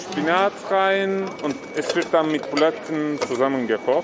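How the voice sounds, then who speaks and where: A man with a fairly high pitch speaks at a very slow pace with ordinary pitch variation. Noticeable background noise runs behind him. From Turkey. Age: 30s. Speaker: community worker. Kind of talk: interview. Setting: cooking school kitchen in a market hall. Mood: warm, reminiscing. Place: kitchen.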